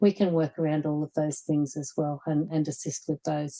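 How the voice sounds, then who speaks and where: A woman with an Australian accent talks at a moderate pace in a dry, close sound with no echo. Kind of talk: webinar presentation. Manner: halting, many fillers and repetitions.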